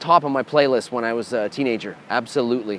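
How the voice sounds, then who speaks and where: An unremarkable speaking voice comes through with a Canadian accent. The pace is moderate. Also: man. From Canada. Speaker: metal guitarist and band leader. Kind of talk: answering fan questions. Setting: bar.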